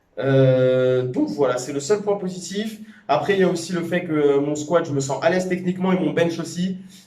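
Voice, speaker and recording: A man speaks with ordinary pitch variation. There is audible echo in the room. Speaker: powerlifting vlogger and coach. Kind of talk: casual vlog talk to camera. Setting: gym after training session. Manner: halting, many hesitations.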